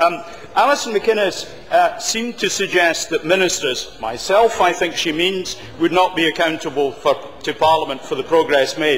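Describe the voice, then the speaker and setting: A high-pitched man with a Scottish accent, over noticeable background noise. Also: ordinary pitch variation, moderate pace. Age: 60s. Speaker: government minister. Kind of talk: parliamentary debate speech. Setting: parliament chamber. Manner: formal.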